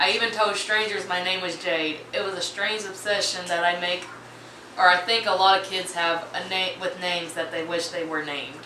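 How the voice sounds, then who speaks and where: A woman's medium-pitched, monotone voice with flat intonation at a moderate pace, over noticeable background noise and audible room echo. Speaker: YouTuber reading Reddit stories. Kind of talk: reading aloud with casual commentary. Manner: stumbling over words.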